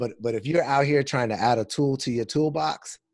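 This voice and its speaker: A man with an American accent and an ordinary speaking voice uses ordinary pitch variation, with a dry, close sound, no echo and a quiet background. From Southern California (Los Angeles, Pasadena). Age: 30s. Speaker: attorney and mediator, fatherhood blogger. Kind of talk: casual interview conversation.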